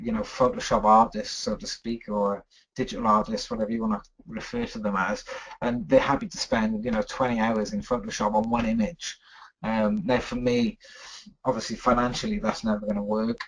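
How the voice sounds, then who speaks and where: Speaking with a British accent, a man talks at a fairly quick pace. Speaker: photographer. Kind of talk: webinar talk. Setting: online webinar. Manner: fast.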